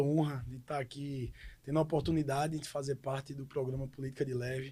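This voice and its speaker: At a fairly quick pace, a man with fairly high pitch, a somewhat breathy, dark, mellow tone and monotone, flat intonation speaks. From Pesqueira, Pernambuco, Brazil. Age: 30s. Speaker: city councillor and lawyer. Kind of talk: podcast interview.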